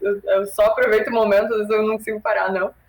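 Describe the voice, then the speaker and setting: The woman here has a medium-pitched voice. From Brazil. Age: 20s. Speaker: cannabis content creator. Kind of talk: casual chat.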